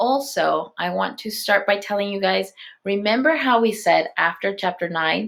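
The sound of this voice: The unforced reading voice moves with lively intonation.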